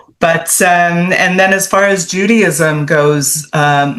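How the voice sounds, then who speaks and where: With a Canadian accent, a woman speaks very slowly in a fairly low voice with ordinary pitch variation, and noticeable background noise runs underneath. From Canada, Toronto. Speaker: author. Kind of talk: interview.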